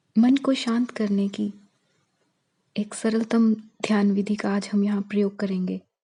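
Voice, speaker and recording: A woman's calm, medium-pitched voice, monotone and flat, broken by long, frequent pauses. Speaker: meditation guide. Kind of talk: guided meditation. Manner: slow, calm.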